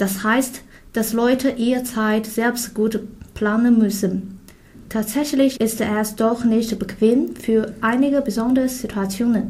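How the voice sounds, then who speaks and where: Speaking very slowly in a Chinese accent, a woman keeps a fairly high pitch, a somewhat breathy voice, monotone, flat intonation and very even loudness. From China. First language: Chinese (speaking German). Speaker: international student. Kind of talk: scripted conversation.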